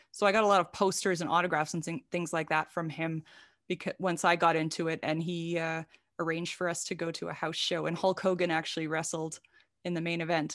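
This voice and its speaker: A woman with a Canadian accent talks at a fairly quick pace in a fairly low pitch, using a normal speaking voice. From Saskatchewan, Canada. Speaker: wrestling journalist and book editor. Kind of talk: casual interview.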